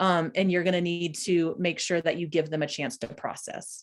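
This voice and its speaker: Fairly quick speech from a woman, fairly low in pitch. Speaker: workshop trainer. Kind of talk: lecture. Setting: video call. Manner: fast; animated.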